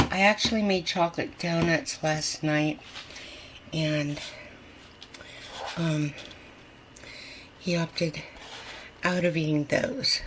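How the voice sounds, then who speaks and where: A woman at a very slow pace, with long, frequent pauses and noticeable background noise. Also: fairly low pitch for a woman, ordinary pitch variation. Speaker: home cooking video host. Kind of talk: casual cooking tutorial. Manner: animated; whispering at times.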